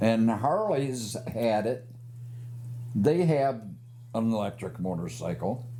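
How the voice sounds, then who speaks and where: A man speaks at a very slow pace with long, frequent pauses and ordinary pitch variation. Room echo is audible. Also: medium pitch for a man. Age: 70s. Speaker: motorcycle rights advocate. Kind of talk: casual interview.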